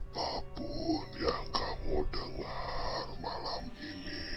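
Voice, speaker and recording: Against loud background noise, a man whispers hoarsely in a put-on character voice at a very slow pace. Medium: read story.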